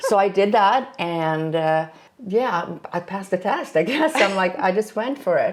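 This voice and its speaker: A woman's medium-pitched voice with a Swedish accent, lively intonation and a moderate pace, against noticeable background noise. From Sweden. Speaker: flight instructor. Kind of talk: casual chat.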